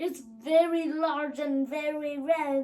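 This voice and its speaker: Using a put-on character voice, the speaker goes at a very slow pace with fairly even intonation. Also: woman. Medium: read story. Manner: mysterious, self-assured.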